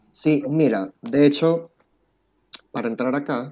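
A man's voice, dry and close with no echo. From Venezuela, Puerto La Cruz. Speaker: immigrant interviewee. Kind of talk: interview.

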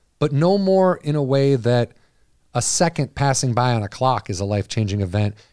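At a moderate pace, a man speaks at a medium pitch with lively intonation and a dark, mellow tone, recorded dry and close with no echo over a very clean, silent background. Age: 40s. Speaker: podcast host. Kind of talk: casual chat. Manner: animated.

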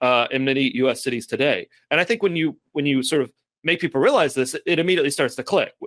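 Delivered at a very fast pace, the speech has ordinary pitch variation and a dry, close sound with no echo. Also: man, fairly high pitch for a man. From Kentucky (Lexington). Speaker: urban planner and author. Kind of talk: interview.

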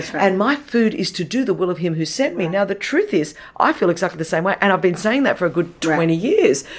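A woman with an Australian accent at a very fast pace, medium in pitch with lively intonation, amid noticeable background noise. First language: Greek. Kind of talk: interview.

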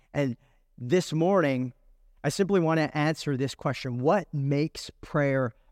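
A man with an American accent and an unremarkable speaking voice talks at a fairly slow pace, his fairly high pitch showing ordinary variation, in a dry, close sound with no echo on a very clean recording with a silent background. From California. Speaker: pastor. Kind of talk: sermon. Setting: church.

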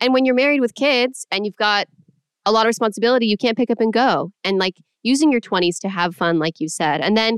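Speaking at a fairly quick pace in a Californian accent, a woman sounds enthusiastic, her fairly high voice lively in intonation and the sound dry and close with no echo. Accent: general American, Californian. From Los Angeles. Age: 20s. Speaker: podcast host. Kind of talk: casual interview.

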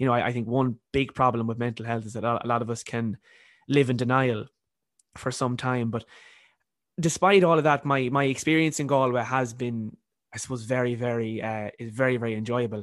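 Man with an Irish accent at a fairly quick pace. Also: medium pitch for a man, fairly even intonation. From Ireland. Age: 20s. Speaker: university student and author. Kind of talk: casual interview.

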